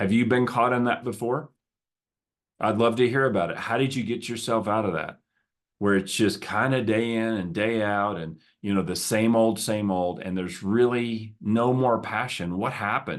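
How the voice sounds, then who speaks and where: A man with a slight Southern US accent, medium in pitch, at a moderate pace with ordinary pitch variation, against a quiet background. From US South. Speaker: podcast host, business coach. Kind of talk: solo podcast talk. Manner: conversational, with some stammering repetitions.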